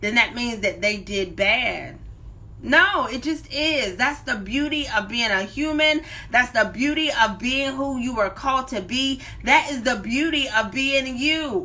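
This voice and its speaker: Her voice raised and projected, a woman sounds animated at a high pitch and a fairly slow pace. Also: ordinary pitch variation. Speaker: life coach and motivational speaker. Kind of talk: live-streamed motivational talk. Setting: live stream on social media. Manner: loud.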